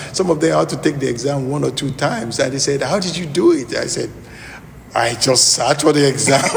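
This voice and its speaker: A man with a strong Nigerian accent speaks fairly quickly at a fairly high pitch with ordinary pitch variation. Noticeable background noise is present. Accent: Nigerian, thick. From southwest Nigeria. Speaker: lawyer. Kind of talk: interview. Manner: halting.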